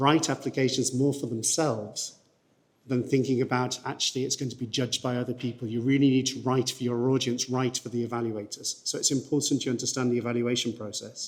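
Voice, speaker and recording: Speaking at a fairly quick pace, a man has a medium pitch and monotone, flat intonation. He talks with a northern English accent. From northern England. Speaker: research funding agency representative. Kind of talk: presentation to conference audience. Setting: conference hall with audience. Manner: fast.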